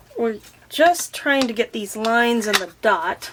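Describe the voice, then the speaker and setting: Clear background noise under a voice with normal pitch movement. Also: woman. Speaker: card-making crafter. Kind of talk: tutorial. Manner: casual, slightly halting.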